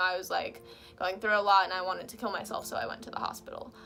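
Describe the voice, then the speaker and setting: There is noticeable background noise behind this woman. Her tone is animated. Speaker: video blogger. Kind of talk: personal vlog talk. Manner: fast.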